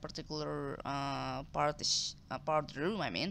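A woman speaks at a moderate pace in a bright, sharp tone. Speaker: gameplay commentator. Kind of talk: casual gameplay commentary.

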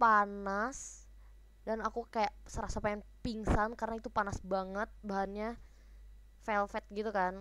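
A woman speaks in a fairly high pitch with an animated, playful tone. Her pace is fairly slow, and the sound is dry with no echo. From Indonesia. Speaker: idol group member livestreaming; live streamer. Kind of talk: casual livestream chat reading comments. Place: home room. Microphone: no external mic, built-in mic; headset.

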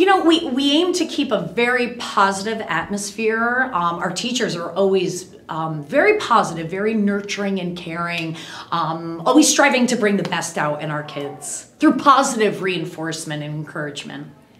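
Recorded with audible room echo, a woman talks at a moderate pace, her loudness swinging widely. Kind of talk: interview answer. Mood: warm, positive.

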